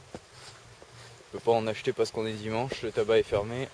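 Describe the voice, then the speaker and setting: The delivery is monotone, with flat intonation. The pace is moderate. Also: man. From southern France, Istres (Provence). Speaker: vlogger. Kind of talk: casual vlog. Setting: outdoors in a park. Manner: hesitant, many fillers and repetitions.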